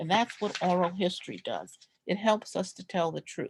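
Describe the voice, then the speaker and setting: In an American accent, a woman talks somewhat breathily with ordinary pitch variation, the sound dry and close with no echo. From New York (Brooklyn). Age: 60s. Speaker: descendant presenting family history. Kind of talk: oral history presentation.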